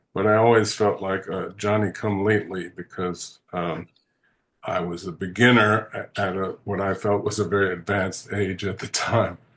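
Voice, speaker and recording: Against a quiet background, a man speaks in a monotone, flat intonation at a fairly low pitch. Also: moderate pace. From US, Washington DC. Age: 60s. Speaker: composer. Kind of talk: interview. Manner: halting, many fillers.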